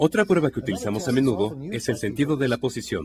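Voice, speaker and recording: With noticeable background noise underneath, the delivery is fairly quick. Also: man. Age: 60s. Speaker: physician demonstrating a neurological exam. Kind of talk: clinical demonstration tutorial.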